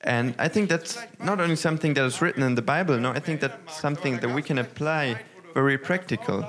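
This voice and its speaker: A man with a German accent and a fairly high pitch talks at a very fast pace, with ordinary pitch variation and very even loudness. Noticeable background noise runs under the recording. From northern Germany. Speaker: pastor. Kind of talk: sermon. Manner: halting, many fillers.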